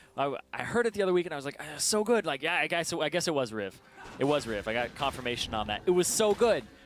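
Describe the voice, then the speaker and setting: At a very fast pace, a man speaks with a fairly high pitch and very wide pitch swings. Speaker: esports caster. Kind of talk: live commentary.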